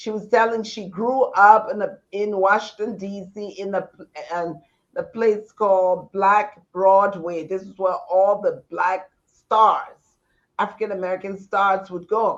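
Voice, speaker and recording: A woman at a medium pitch, with a very slow pace and big swings in loudness. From Liberia. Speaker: storyteller. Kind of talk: interview answer.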